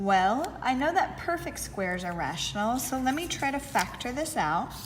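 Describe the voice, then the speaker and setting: Against noticeable background noise and audible room echo, a woman speaks at a fairly slow pace. Her pitch is high and swings very widely. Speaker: math teacher. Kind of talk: tutorial.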